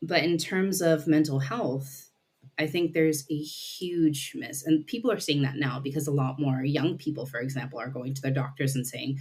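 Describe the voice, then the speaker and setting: A woman with an American accent and a very deep, low voice speaks at a moderate pace, somewhat breathy, with ordinary pitch variation. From Nepalese American living in the UK. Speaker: psychodynamic counselor. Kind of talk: podcast interview answer.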